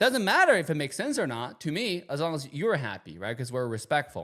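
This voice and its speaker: A man with a Chinese accent, fairly high-pitched with lively intonation, on a very clean recording with a silent background. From China. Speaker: YouTube commentator. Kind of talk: casual vlog commentary.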